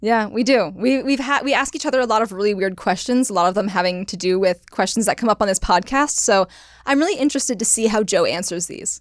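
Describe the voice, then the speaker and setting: This woman talks at a very fast pace with a Californian accent. Her pitch is fairly high, with ordinary pitch variation. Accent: Californian, West Coast. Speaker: podcast host. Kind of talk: casual chat.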